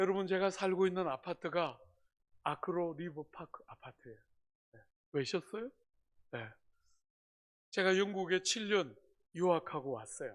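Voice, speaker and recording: At a moderate pace, a man with a high pitch speaks with big swings in loudness and long, frequent pauses. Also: lively intonation. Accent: Gyeongsang. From South Korea, Gyeongsang (Busan). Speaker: pastor. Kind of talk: sermon. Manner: animated.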